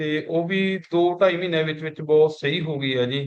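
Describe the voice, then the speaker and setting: The man's voice is high, and his intonation stays fairly even. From Punjab, India (near Ludhiana). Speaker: customer giving testimonial. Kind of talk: testimony.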